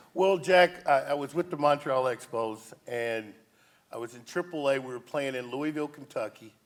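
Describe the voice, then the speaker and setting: This is a man with a normal speaking voice, pitched fairly high with ordinary pitch variation. He keeps a moderate pace, with big swings in loudness. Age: 60s. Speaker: former baseball player, youth coach. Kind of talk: talk show interview.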